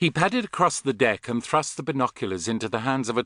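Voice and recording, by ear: Reading aloud in a natural voice, the intonation lively throughout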